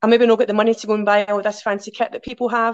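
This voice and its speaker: A woman with a Glaswegian accent, fairly high in pitch, at a very fast pace, over a quiet background. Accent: Glaswegian Scottish. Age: 40s. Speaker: outdoor adventurer and swim group organiser. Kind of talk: casual chat.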